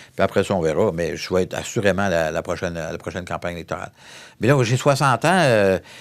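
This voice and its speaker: A man's very deep, low voice at a very fast pace, with lively intonation. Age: 60s. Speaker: federal member of parliament. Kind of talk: interview. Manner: animated.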